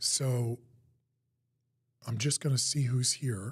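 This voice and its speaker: A man's somewhat breathy, medium-pitched voice with an American accent. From New Jersey, US. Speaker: psychic medium. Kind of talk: live-stream talk to viewers. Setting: live online stream.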